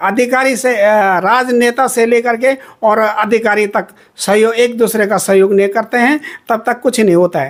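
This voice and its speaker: A man's high voice carries fairly even intonation. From Uttarakhand, Chamoli district (Garhwal). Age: 60s. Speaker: sweet maker. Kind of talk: interview. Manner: halting, many fillers.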